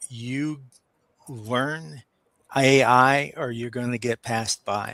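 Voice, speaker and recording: A man's medium-pitched voice with an American accent, very slow and fairly even in intonation, dry and close with no echo. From New York, Brooklyn. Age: 60s. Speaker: business owner. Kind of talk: interview. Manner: halting, many fillers.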